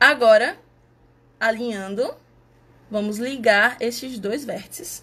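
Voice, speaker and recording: This woman has a fairly high pitch and ordinary pitch variation, talking at a very slow pace with long, frequent pauses. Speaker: math outreach presenter. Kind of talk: tutorial.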